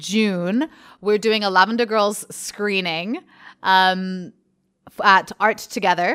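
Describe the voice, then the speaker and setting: The speech has ordinary pitch variation in a very clean recording with a silent background. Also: woman. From Zimbabwe, then English countryside (Stroud) from age ten. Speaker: artist. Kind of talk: casual chat. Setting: artist's studio.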